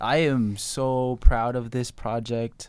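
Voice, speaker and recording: A plain, everyday voice from a man, medium in pitch with ordinary pitch variation, with an American accent. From Tucson, Arizona, US Southwest. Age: young, 18. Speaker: rapper. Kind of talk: casual chat. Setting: studio.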